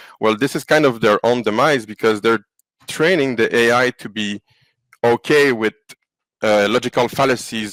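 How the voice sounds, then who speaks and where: Recorded dry and close with no echo, a man with a French accent speaks at a medium pitch with ordinary pitch variation. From Quebec. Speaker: AI company founder. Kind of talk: podcast interview. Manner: halting.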